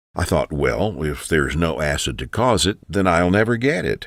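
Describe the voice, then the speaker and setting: The speaker's intonation is lively, with vocal fry in the voice. The pace is moderate. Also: man. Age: 60s. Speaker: sales pitch narrator. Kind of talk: sales pitch.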